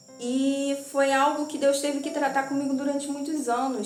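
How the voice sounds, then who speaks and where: With music in the background and audible room echo, a woman talks at a high pitch in an animated tone. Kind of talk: sermon.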